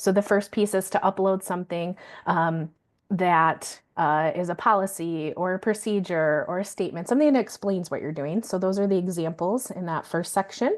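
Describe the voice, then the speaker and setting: Against a quiet background, a woman speaks at medium pitch with ordinary pitch variation. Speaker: quality validator presenting to child care providers. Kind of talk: online training webinar. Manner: fast.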